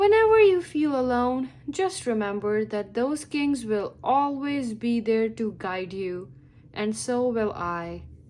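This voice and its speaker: A woman puts on a character voice at a fairly high pitch. She talks at a fairly slow pace. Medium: read story.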